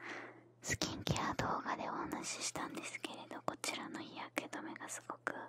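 Whispering, a woman speaks at a fairly slow pace. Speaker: beauty content creator. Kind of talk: soft-spoken ASMR skincare chat. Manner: soft, hushed ASMR close-mic voice. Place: home room. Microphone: studio mic.

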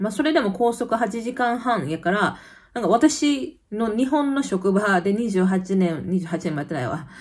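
In a Kansai accent, the speaker talks at a fairly slow pace with very wide pitch swings, sounding somewhat breathy. The tone is animated, and the background is quiet. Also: woman. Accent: Kansai dialect Japanese. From Kansai, Japan; Japan. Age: 30s. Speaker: YouTuber; vlogger living abroad. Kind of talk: casual chat. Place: home room. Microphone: phone near.

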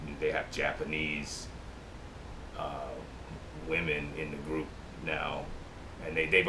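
A man with an American accent speaks in a very deep, low voice with monotone, flat intonation. He goes at a fairly slow pace with long, frequent pauses, over noticeable background noise. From US Midwest. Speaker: DJ. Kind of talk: recorded interview. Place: home room. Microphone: camera far.

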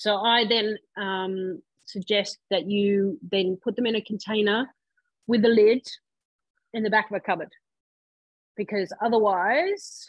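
At a very slow pace, a woman speaks with medium pitch and fairly even intonation. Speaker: cooking class host. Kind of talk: live cooking demonstration. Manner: casual, chatty.

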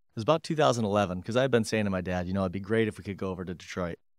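Against a quiet background with dry sound and no echo, a man with an Upper Midwest accent talks at a fairly low pitch. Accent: Upper Midwest American. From Michigan, Grand Rapids; Michigan. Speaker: company president; guest. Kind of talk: interview. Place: office. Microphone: studio mic.

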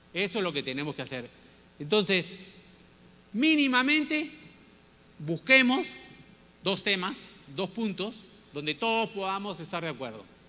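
With a raised, projected voice, a man speaks in a high pitch and a bright, sharp tone, using very wide pitch swings at a fairly slow pace with long, frequent pauses. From Peru (Piura, Callao). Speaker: business leader and former minister giving a talk. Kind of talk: lecture. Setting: stage with audience. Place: stage. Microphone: handheld.

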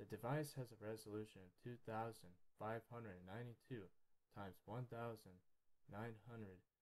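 A man with a dark, mellow tone talks calmly at a moderate pace. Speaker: microscopy hobbyist / YouTuber. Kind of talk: educational narration over microscope footage. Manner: unexcited, calm.

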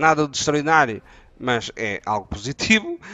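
A man speaks at a moderate pace. The sound is dry with no echo, and faint music plays in the background. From Portugal. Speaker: gaming youtuber. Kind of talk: tutorial. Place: home room. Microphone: headset.

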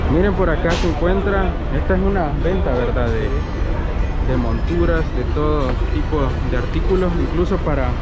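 Loud background noise fills a dry recording with no echo, and the speech moves at a moderate pace. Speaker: travel vlogger. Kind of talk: casual vlog commentary. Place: market. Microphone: phone near.

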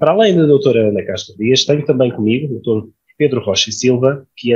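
The man's voice is somewhat breathy, with ordinary pitch variation. The background is quiet. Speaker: panel moderator. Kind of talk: moderator introduction. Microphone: earbuds.

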